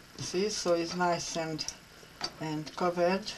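A woman speaks slowly at a fairly low pitch, her intonation fairly even. Faint background noise is present.

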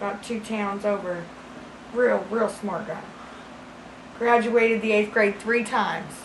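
A woman talks at a fairly slow pace in a monotone, flat intonation. Audible room echo and light background noise surround her. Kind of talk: improvised comedic monologue. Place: home room.

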